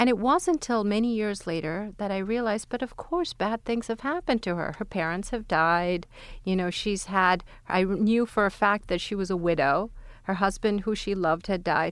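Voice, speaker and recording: At a moderate pace, a woman speaks in an unremarkable speaking voice at medium pitch with ordinary pitch variation. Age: 40s. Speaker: neurologist and memory researcher. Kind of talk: panel discussion.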